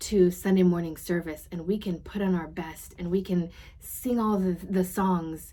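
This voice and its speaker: Fairly slowly, a woman speaks at a medium pitch in a somewhat breathy voice with fairly even intonation. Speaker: podcast host and coach. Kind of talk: podcast monologue recapping a conference session.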